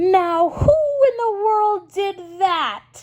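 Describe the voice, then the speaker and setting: A woman uses a put-on character voice at an extremely high pitch. Her intonation is lively. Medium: read story.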